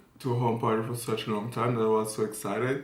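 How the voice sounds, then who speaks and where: A man's medium-pitched voice at a fairly quick pace, monotone and flat, with audible room echo and noticeable background noise. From France. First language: French. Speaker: fashion model and vlogger. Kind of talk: casual story time vlog.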